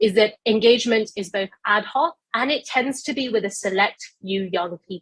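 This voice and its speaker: A woman with a British accent, in a dry, close sound with no echo. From global south. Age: young. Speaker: youth climate advocate. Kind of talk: panel discussion.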